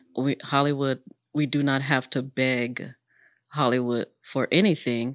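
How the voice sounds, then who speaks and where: A woman with an American accent speaks at a very deep, low pitch, with fairly even intonation and very even loudness. The sound is dry and close with no echo, a very clean recording with a silent background. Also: fairly slow pace. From Oak Cliff, Dallas, Texas. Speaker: artist and spiritual card reader. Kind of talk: casual interview conversation.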